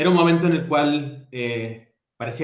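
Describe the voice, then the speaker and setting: This man's voice shows ordinary pitch variation. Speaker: architect and urban planner. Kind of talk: lecture. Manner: fast.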